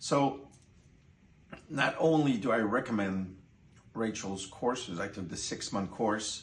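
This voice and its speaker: A man speaks with a French Canadian accent at a fairly low pitch and a moderate pace, somewhat breathy, with ordinary pitch variation. Audible room echo surrounds the voice. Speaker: course participant. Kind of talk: testimony.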